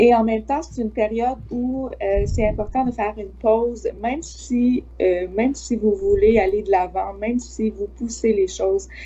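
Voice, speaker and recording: A woman with a Quebec accent talks at a fairly slow pace with hardly any pauses. Noticeable background noise sits behind her. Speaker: psychic medium. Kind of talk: psychic forecast in live chat. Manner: many hesitations.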